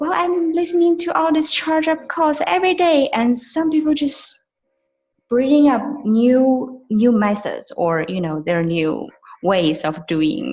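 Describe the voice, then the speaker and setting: With a non-native accent, a woman talks at a fairly slow pace in a high pitch, swinging very widely up and down. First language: not English. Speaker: network marketing associate. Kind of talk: team call testimony. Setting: video call. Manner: halting, many fillers.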